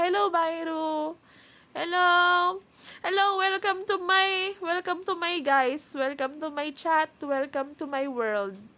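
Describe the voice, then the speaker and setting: A woman with a Filipino accent speaks in an extremely high, raised and projected voice with a bright, sharp tone. Her pace is fairly slow and her pitch varies in an ordinary way. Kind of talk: cheerful, welcoming, streamer-style.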